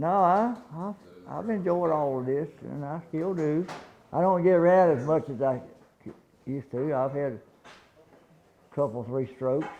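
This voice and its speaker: With a Southern US accent, a man of fairly high pitch and ordinary pitch variation speaks with long, frequent pauses. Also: moderate pace. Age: 80s+. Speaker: retired race car owner. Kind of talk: casual interview. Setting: sit-down interview. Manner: halting, repeats words.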